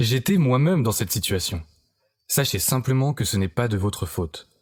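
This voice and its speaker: On a very clean recording with a silent background, a man speaks at a fairly quick pace, somewhat breathy, with lively intonation. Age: 20s. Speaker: online marketer. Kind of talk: sales pitch. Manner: scripted, persuasive.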